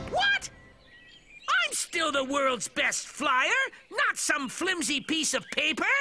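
A cartoonish character voice at a very slow pace. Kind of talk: comic overacting. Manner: pompous, blustering.

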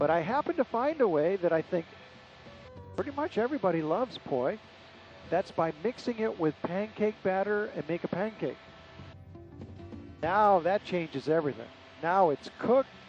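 A man talks at a moderate pace with lively intonation, pausing often and at length. Music plays in the background, and the sound is dry with no echo. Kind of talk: tour guide commentary. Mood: friendly, enthusiastic. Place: plane. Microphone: headset.

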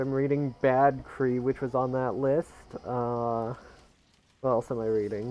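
Speaking fairly slowly with long, frequent pauses, a man keeps a monotone, flat intonation at a medium pitch. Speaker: video game streamer and speedrunner. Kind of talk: live-streamed gameplay commentary. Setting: live stream from a home setup. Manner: casual and chatty.

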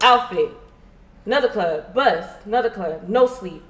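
Noticeable background noise sits behind a woman with an American accent, a fairly high pitch and lively intonation. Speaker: influencer. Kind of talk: casual chat. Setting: livestream.

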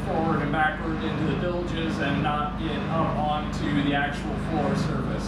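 Loud noise fills the background as a man speaks at a fairly slow pace. The room echo is easy to hear. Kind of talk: casual build vlog explanation. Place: workshop. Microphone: camera far.

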